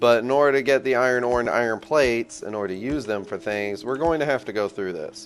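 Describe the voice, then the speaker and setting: Music plays in the background as a man talks at a very fast pace with hardly any pauses. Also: medium pitch for a man, ordinary pitch variation. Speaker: gaming video creator. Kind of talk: gameplay tutorial commentary; casual chat to viewers. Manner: casual, slangy.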